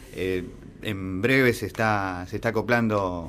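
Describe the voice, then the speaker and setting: A man with an Argentine accent talks in a fairly low voice with ordinary pitch variation over light background noise. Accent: Argentine Spanish (Rioplatense). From Argentina. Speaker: student and local history page creator. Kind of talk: radio interview. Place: studio.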